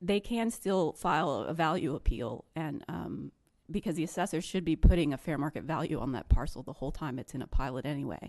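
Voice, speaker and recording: A woman speaks at a fairly quick pace in a very deep, low pitch. Her voice has vocal fry. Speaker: state government staff presenter. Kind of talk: panel presentation. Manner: hesitant, many fillers.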